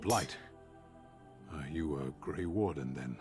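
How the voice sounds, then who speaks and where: Over clear background music, a man does a put-on character voice at a fairly slow pace. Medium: video game. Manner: terse, formal, cold.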